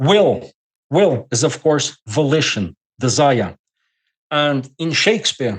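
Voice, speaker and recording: The speaker talks at a very slow pace in a Portuguese accent, leaving long, frequent pauses. The intonation stays lively throughout. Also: man, fairly high pitch for a man. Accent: non-native English, Portuguese. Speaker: scholar guest. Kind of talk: podcast interview lecture. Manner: halting.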